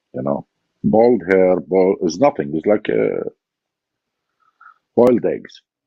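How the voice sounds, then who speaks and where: Very slow speech in an Iraqi accent comes with long, frequent pauses. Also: man. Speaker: former body double, war veteran. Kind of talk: interview testimony.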